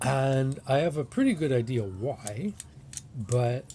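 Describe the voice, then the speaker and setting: A man's medium-pitched voice, with ordinary pitch variation, competes with noticeable background noise. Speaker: harmonica customizer. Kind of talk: tutorial demonstration. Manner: casual, hesitant.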